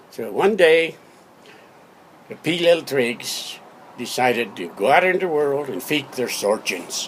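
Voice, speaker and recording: Speaking at a fairly slow pace with long, frequent pauses, a man with a fairly high pitch makes very wide pitch swings and big swings in loudness over noticeable background noise. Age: 80s+. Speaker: father telling a family story. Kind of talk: spoken-word comic storytelling from memory. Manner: playful, spoonerized wordplay.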